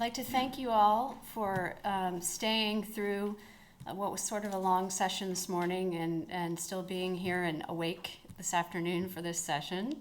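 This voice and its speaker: The voice moves at a fairly slow pace with ordinary pitch variation. Room echo is audible. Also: woman, medium pitch for a woman. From United States. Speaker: corporate lawyer. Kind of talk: conference talk. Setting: conference stage with audience.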